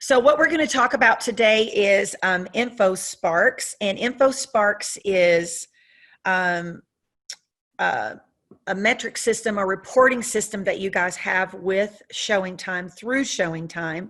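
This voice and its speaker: A woman with a Southern US accent speaks at a fairly slow pace over a quiet background. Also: medium pitch for a woman, ordinary pitch variation. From US South. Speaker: software trainer. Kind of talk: training webinar. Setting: video call with screen share. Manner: frequent fillers (um, uh). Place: home room. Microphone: webcam.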